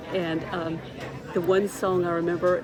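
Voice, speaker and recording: Monotone, flat intonation in an American accent at a moderate pace, with audible room echo and crowd noise in the background. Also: woman. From US South. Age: 60s. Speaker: vlogger. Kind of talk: casual chat. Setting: restaurant.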